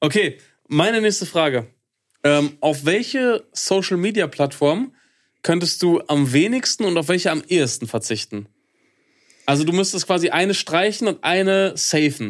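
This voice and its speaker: On a very clean recording with a silent background, the speaker keeps a moderate pace and very even loudness, with lively intonation and long, frequent pauses. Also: man, high pitch for a man. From Ruhr area, Germany (Hattingen), later eastern Westphalia. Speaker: podcast co-host. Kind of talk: casual chat.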